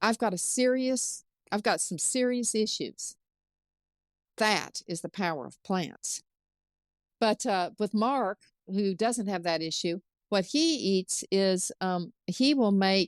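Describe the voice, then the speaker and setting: Woman at medium pitch, very slow pace with long, frequent pauses, lively intonation, dry, close sound with no echo and a quiet background. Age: 60s. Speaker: chef. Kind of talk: interview.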